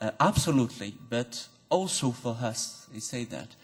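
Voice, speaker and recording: A man speaks at a fairly slow pace with a non-native accent and a medium-pitched voice. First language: not English. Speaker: audience member at philosophy talk. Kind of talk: academic Q&A question. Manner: halting.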